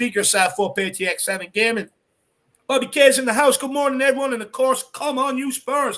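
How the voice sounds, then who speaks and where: In an Irish accent, the speaker talks at a fairly quick pace with a bright, sharp, animated tone and ordinary pitch variation. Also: man, extremely high pitch for a man. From Ireland. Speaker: football fan channel host. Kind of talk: live stream chat.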